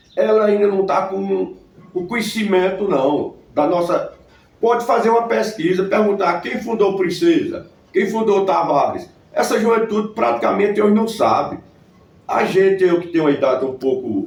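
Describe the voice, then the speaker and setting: Audible room echo surrounds a man with a high pitch talking at a fairly slow pace. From Brazil, Northeast (Paraíba sertão). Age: 60s. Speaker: local historian. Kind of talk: interview. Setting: at his home.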